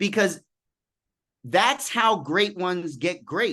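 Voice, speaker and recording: A man speaks in a New York accent at a high pitch. His tone is animated. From US Northeast, Queens, New York City. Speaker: executive coach. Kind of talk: podcast interview.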